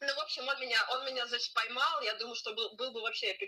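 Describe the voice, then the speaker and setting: A woman's raised, projected voice, high in pitch, bright and sharp in tone, at a very fast pace. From Siberia, Russia (Barnaul). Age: 20s. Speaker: orientalist, psychology student. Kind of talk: casual chat. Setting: call.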